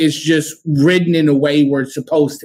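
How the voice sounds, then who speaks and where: Speaking with an American accent, this man has a fairly high pitch. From Texas (San Antonio) and Oklahoma. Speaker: political activist. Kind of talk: interview conversation. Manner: halting, many fillers and repeats.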